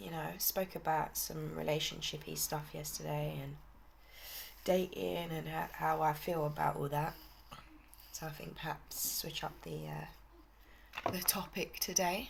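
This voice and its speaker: A woman with a British accent talks at a fairly slow pace. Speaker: vlogger. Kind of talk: casual chat.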